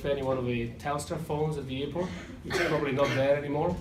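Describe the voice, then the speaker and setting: Noticeable background noise and audible room echo surround this voice. A man with an Italian accent speaks at a fairly high pitch. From Italy. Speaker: airline pilot. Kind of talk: graduation speech. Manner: halting, with self-corrections.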